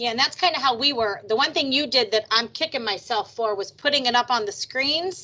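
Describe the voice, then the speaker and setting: Loud and bright, a woman speaks with a sharp tone, high pitch and lively intonation. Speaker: trauma program manager. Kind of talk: video meeting discussion.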